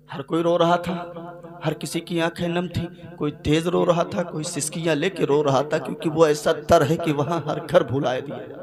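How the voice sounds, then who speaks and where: Noticeable background noise sits under a moderately paced voice whose intonation is fairly even while its loudness swings widely. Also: man, fairly high pitch for a man. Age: young. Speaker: Islamic preacher. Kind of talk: religious sermon. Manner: emotional storytelling.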